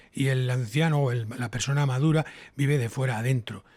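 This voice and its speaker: A man with a medium pitch speaks at a moderate pace, somewhat breathy. The recording is very clean, with a silent background. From Spain, Toledo. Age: 60s. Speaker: TV scriptwriter and radio broadcaster. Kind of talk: casual interview chat. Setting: home.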